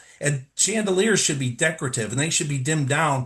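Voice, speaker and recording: At a fairly quick pace, a man talks with a fairly high pitch, a somewhat breathy sound and ordinary pitch variation. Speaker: lighting design presenter. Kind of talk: webinar presentation. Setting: live webinar. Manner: fast.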